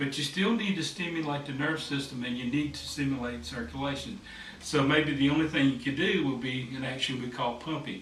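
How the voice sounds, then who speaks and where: Talking at a fairly quick pace, a man with a fairly high voice is heard with audible room echo and light background noise. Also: ordinary pitch variation. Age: 50s. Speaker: massage therapist; massage therapist instructor. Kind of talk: tutorial. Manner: hesitant, with fillers. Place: home room. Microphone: camera far.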